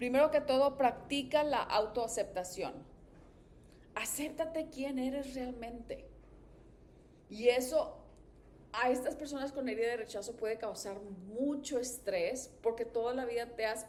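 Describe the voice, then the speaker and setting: With noticeable background noise around it, an animated voice moves at a fairly slow pace with long, frequent pauses. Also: woman, high pitch for a woman, ordinary pitch variation. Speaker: therapist and podcast host. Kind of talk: advice podcast monologue.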